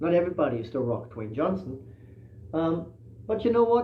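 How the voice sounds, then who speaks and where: A man's fairly high voice at a moderate pace, with very wide pitch swings and audible room echo. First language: not English. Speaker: musician and livestream host. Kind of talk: casual livestream talk. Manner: hesitant, many fillers.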